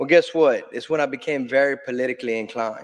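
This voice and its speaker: A man speaks with a strong South Louisiana accent at a fairly high pitch. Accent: thick South Louisiana. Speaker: state legislator. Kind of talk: conference panel talk. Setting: conference stage with audience.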